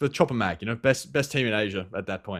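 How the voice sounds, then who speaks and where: A man with an Australian accent, a bright, sharp tone and a fairly quick pace. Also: very clean recording, silent background. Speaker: esports pro player. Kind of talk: interview. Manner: halting, many fillers and repeats.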